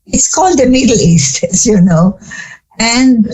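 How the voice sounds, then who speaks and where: A woman with a fairly high pitch talks in a somewhat breathy voice with lively intonation. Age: 80s+. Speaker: psychologist and family therapist. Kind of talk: interview.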